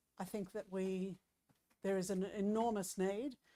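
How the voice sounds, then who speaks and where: A woman's dark, mellow voice in a monotone, flat delivery at a moderate pace, dry and close with no echo, on a very clean recording with a silent background. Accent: Australian. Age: 60s. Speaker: local councillor. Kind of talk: council meeting report. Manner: halting, with many fillers.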